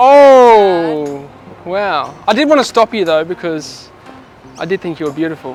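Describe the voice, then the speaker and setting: Over background music, a man speaks in an Australian accent at a fairly slow pace. His pitch is high, with very wide swings. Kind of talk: casual street pickup talk. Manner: cheeky, playful.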